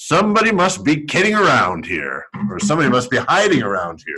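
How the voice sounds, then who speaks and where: Putting on a character voice, a man talks at a fairly quick pace in a fairly high pitch with very wide pitch swings. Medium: read story.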